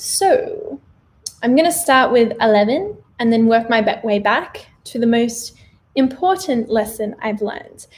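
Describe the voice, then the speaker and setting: Her pitch fairly high, a woman speaks with lively intonation. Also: fairly slow pace. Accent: Australian. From Australia. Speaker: vegan lifestyle vlogger. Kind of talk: livestream Q&A monologue. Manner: casual, chatty.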